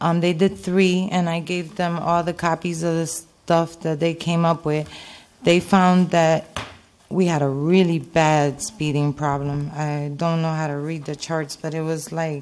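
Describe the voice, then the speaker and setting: A woman speaks at a fairly slow pace with a fairly low pitch. Her intonation stays fairly even. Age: 40s. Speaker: resident speaking at public comment. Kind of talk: public comment. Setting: town council meeting. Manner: halting. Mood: concerned, earnest. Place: meeting room. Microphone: podium.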